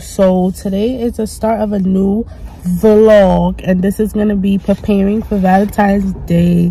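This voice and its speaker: In a New York accent, a woman talks at a moderate pace with monotone, flat intonation, the sound dry with no echo. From New York City. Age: 20s. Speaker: vlogger and hairstylist. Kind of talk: casual talk to camera. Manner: casual, chatty.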